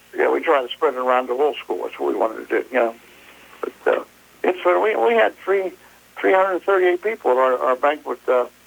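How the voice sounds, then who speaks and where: A man with an American accent talks at a very fast pace. Noticeable background noise runs under his voice. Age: 70s. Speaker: local sports historian. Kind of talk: radio interview. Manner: halting.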